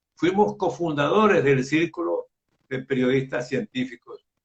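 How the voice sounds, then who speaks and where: The speaker talks at a very slow pace with lively intonation. Vocal fry runs through the voice. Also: man. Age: 80s+. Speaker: journalist. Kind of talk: interview.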